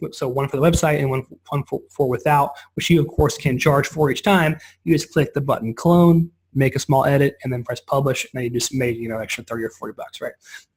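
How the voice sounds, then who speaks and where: Recorded very cleanly over a silent background, a man with a somewhat breathy, fairly high voice talks at a fairly quick pace with ordinary pitch variation. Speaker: software company rep giving product demo. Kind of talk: product demo on a call. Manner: fast; casual, halting with many restarts.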